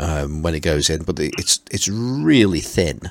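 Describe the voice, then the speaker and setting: The speaker uses a Potteries accent at a fairly slow pace. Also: man. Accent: Potteries (Stoke-on-Trent) English. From Stoke-on-Trent, England. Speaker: podcast host. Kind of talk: casual chat.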